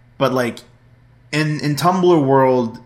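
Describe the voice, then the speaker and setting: A man with an ordinary speaking voice, fairly high in pitch, talks at a fairly slow pace. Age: 20s. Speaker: podcast co-host. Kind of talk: casual chat.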